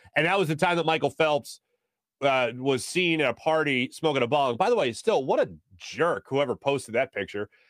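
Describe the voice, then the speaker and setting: With an American accent and lively intonation, a man speaks at a moderate pace in a fairly high pitch, captured in a very clean recording with a silent background. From Philadelphia. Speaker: sports talk host. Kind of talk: sports talk show monologue. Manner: frequent filler hesitations.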